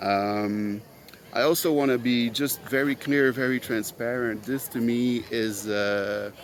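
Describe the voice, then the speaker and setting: A man with a Quebec accent talks at a medium pitch, his intonation fairly even, over noticeable background noise. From Quebec, Montreal. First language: French. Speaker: podcast host. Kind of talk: solo monologue. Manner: halting, many fillers.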